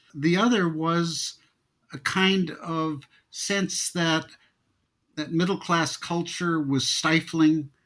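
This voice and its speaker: Speaking at a very slow pace with long, frequent pauses, a man with an American accent uses a high pitch and fairly even intonation. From US Midwest, Wisconsin. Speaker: former arts college president. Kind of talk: interview. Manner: halting, repeats words.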